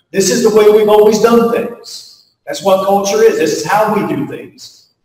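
Talking at a moderate pace with an American accent, a man uses a high pitch and ordinary pitch variation, with audible room echo. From US Appalachia (West Virginia). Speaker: pastor and leadership speaker. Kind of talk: keynote talk to faculty, closing with prayer. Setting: stage with audience at faculty retreat. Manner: folksy, conversational with frequent fillers.

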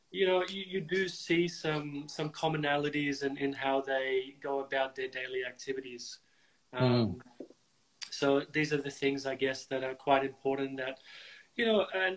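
A man speaks at a moderate pace, his pitch rising and falling in an ordinary way. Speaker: tennis coach host. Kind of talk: interview conversation. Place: home room. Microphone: video call.

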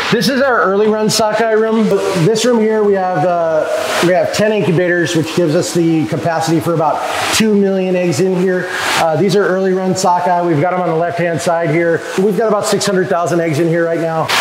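A man speaks at a high pitch and fairly quick pace, with fairly even intonation and very even loudness. The recording has audible room echo and noticeable background noise. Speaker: hatchery staff guide. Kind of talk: tour explanation. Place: factory.

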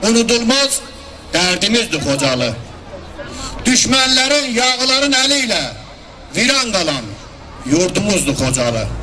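Over noticeable background noise, a man in a raised, projected voice speaks at a fairly slow pace with an extremely high pitch, very wide pitch swings, very even loudness, and long, frequent pauses. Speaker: commemoration speaker / emcee. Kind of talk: commemorative speech. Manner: solemn, emotional. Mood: solemn, mournful. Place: street. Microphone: handheld.

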